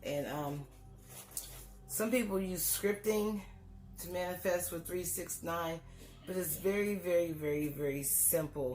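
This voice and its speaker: Fairly slow speech with long, frequent pauses and ordinary pitch variation, with music in the background and audible room echo. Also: woman, fairly low pitch for a woman. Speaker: life coach and author. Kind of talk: tutorial. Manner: casual, halting with fillers.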